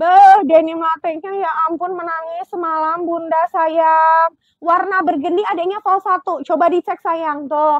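Against a quiet background with dry sound and no echo, a woman speaks fairly slowly at an extremely high pitch in a monotone, flat way. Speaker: live-selling fashion seller. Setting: online live selling stream. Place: shop. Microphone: lapel.

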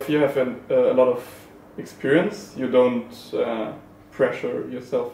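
A man with a German accent speaks at a moderate pace, with noticeable background noise and audible room echo. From Germany. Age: young. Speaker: esports player. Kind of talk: casual chat.

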